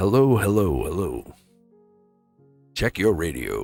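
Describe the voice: In a put-on character voice, a man talks at a fairly low pitch. Faint music sits in the background.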